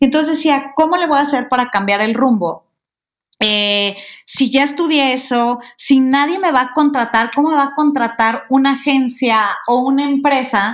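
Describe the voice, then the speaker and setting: This woman's voice is high-pitched, and her pitch moves in an ordinary way. She talks at a moderate speed. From Mexico, Guadalajara. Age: 30s. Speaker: podcast co-host, communications consultant. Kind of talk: casual chat.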